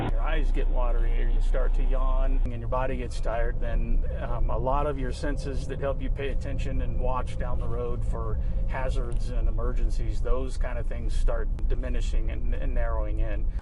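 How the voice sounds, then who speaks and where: Against noticeable background noise, a man talks with hardly any pauses. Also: moderate pace. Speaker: sheriff's sergeant. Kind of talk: interview answer.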